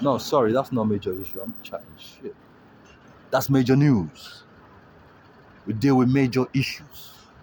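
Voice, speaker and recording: The voice is somewhat breathy at a moderate pace, with ordinary pitch variation, big swings in loudness and long, frequent pauses. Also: man, medium pitch for a man. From Africa. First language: not English. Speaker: street livestreamer. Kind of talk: street livestream monologue. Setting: outdoors. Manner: halting.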